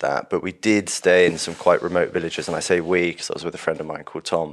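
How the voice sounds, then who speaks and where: A man talks at a very fast pace with hardly any pauses. His very deep, low voice keeps a fairly even intonation. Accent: southern English. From London, southern England. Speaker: hunting course founder. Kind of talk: casual interview.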